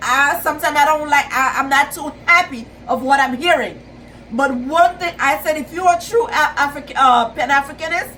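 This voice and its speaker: In a Caribbean accent, a woman with a high pitch uses a raised, projected voice at a moderate pace with ordinary pitch variation, over noticeable background noise. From Haiti. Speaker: YouTuber, pan-Africanist commentator. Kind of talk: video monologue / commentary. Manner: halting, with fillers and repetitions.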